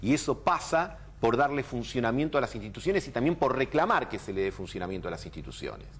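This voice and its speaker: Very fast and with hardly any pauses, a man talks at medium pitch. His intonation is lively. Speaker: political commentator. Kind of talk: televised political debate.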